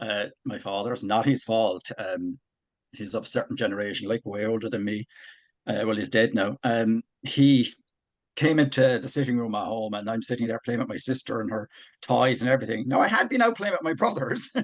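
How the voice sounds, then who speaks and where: A man talks in an Irish accent. He keeps a fairly quick pace. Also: medium pitch for a man, ordinary pitch variation. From Ireland. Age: 60s. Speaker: army veteran and author. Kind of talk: personal testimony in interview.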